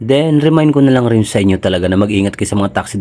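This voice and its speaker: A man is talking. His pace is very fast. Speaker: travel vlogger. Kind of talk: vlog narration. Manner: soft-spoken; playful.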